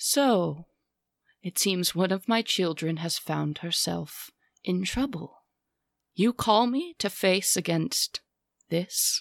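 A female-sounding, booming put-on character voice at a medium pitch speaks at a very slow pace, with long, frequent pauses. The recording is very clean, with a silent background. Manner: cold, contemptuous, commanding.

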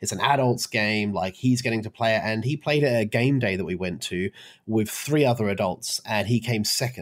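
On a very clean recording with a silent background, a man with an Australian accent talks at a medium pitch with ordinary pitch variation. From Brisbane, Australia. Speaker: podcast co-host, event organizer. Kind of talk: casual chat.

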